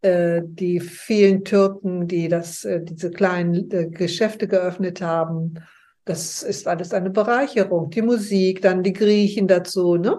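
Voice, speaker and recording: Against a quiet background, a woman with a dark, mellow tone speaks at a medium pitch and a fairly slow pace, her intonation fairly even. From West Germany, early years near Leipzig. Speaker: interview guest sharing life story. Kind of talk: interview, personal life story. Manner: halting, with frequent fillers.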